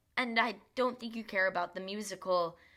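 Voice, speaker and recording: Bright and sharp in tone, a woman speaks at a moderate pace with fairly even intonation. The recording is very clean, with a silent background. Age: 20s. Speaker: podcast host. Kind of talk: casual podcast monologue. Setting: home bedroom recording.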